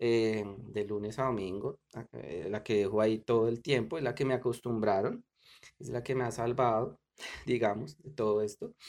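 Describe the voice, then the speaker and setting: A man talks at a fairly slow pace. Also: very clean recording, silent background. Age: middle-aged. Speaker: podcaster. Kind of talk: casual solo commentary. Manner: halting, many fillers.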